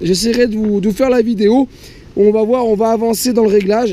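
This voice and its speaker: Noticeable background noise runs under a man talking at a very fast pace. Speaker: moped vlogger. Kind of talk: casual vlog, test ride commentary. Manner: halting, stumbling over words.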